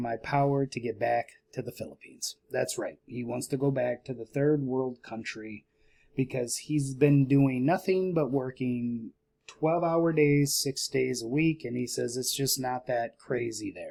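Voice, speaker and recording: A man with a quiet, dark, mellow voice at medium pitch speaks at a moderate pace with fairly even intonation. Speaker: investing YouTuber. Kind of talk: casual vlog. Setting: at home late at night. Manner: quiet, keeping voice down.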